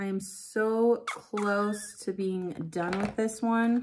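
Speech at a very slow pace, with light background noise behind it. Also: woman. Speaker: beauty vlogger. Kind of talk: casual vlog chat. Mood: a bit frustrated, venting. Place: home room. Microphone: phone near.

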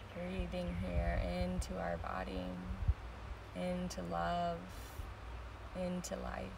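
A woman with a very deep, low pitch speaks at a very slow pace with lively intonation and long, frequent pauses, over noticeable background noise. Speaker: meditation teacher. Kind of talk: guided meditation. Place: beach. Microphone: phone near.

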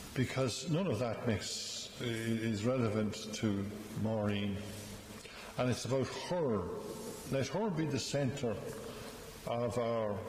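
A man talks at a very slow pace with long, frequent pauses and ordinary pitch variation, over light background noise and audible room echo. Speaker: priest. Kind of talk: funeral homily. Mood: gentle, solemn, warm. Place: church. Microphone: podium.

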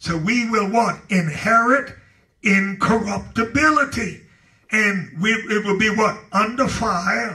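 A man speaks in a raised, projected voice at a high pitch, with ordinary pitch variation. His tone is animated, bright and sharp. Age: 70s. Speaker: pastor. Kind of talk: Bible study teaching. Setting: church.

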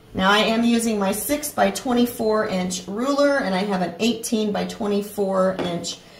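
A woman talks fairly slowly while noticeable noise fills the background. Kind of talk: tutorial. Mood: calm, reassuring. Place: home room.

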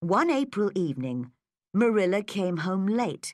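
A quiet background behind plain reading aloud with lively intonation

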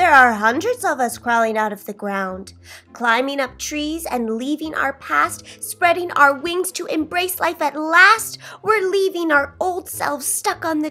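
A woman speaks in a raised, projected voice at a fairly slow pace. Faint music plays in the background. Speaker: storybook reader. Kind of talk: children's story read-aloud. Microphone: phone near.

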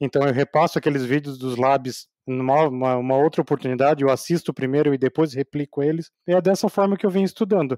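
A man speaks with a fairly high pitch and a dark, mellow tone. The recording is very clean, with a silent background and a dry, close sound with no echo. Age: 40s. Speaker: data engineer. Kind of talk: interview.

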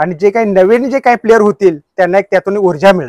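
Against a quiet background, a high-voiced man talks with fairly even intonation in a dry sound with no echo. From Borpadale, Panhala, Kolhapur district, Maharashtra; Maharashtra. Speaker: retired blind wrestler; interviewee. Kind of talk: interview. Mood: earnest, humble appeal. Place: open country. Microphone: lapel.

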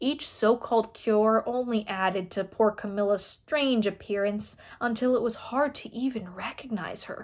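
A natural voice reading aloud

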